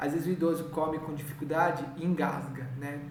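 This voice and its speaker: Speaking at a moderate pace, a man has a fairly high pitch. Noticeable background noise and audible room echo come through. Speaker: home care nurse supervisor trainer. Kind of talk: training lecture.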